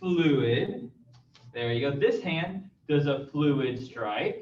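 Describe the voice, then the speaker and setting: A man at a very slow pace, his pitch fairly high and his intonation lively. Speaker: martial arts instructor. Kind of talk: live online class instruction. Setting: live stream.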